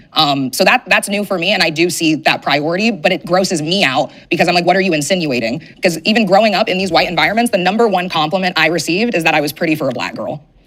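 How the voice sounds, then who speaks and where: Someone talks very fast in an American accent. Background noise is noticeable. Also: woman, fairly low pitch for a woman, ordinary pitch variation, hardly any pauses. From US West Coast, San Diego. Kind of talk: casual chat.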